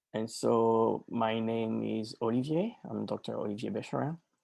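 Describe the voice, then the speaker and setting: Someone with a slight French accent speaks over a quiet background. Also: man. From France, Normandy. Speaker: life and business coach. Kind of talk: webinar presentation.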